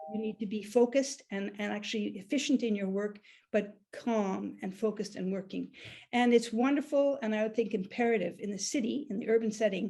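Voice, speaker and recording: A woman's fairly high, somewhat breathy voice with a dark, mellow tone, at a fairly quick pace with ordinary pitch variation. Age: 60s. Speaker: beekeeper. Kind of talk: conference presentation.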